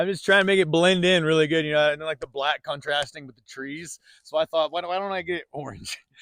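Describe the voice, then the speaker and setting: Racing at a very fast pace with hardly any pauses, a man with a fairly high pitch keeps his intonation fairly even while his loudness swings widely. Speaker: gun channel host. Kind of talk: casual chat. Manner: stutters.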